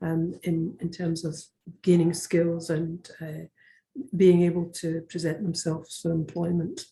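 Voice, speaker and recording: This woman's voice is dark, mellow and somewhat breathy, set at a fairly low pitch. She speaks fairly slowly in a flat monotone. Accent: Scottish. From Scotland. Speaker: education network leader. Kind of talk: webinar presentation. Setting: video call. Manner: halting, many fillers.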